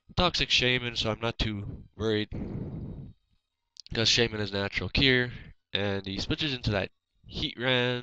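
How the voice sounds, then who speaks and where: Bright, sharp tone from a man at a medium pitch and moderate pace, with long, frequent pauses over a quiet background. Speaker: gaming commentator. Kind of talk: narrated gameplay commentary. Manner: monotone.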